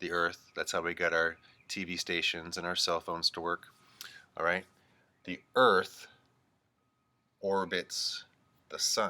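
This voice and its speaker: A man is speaking. His pace is moderate. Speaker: teacher. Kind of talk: remote lesson for young children.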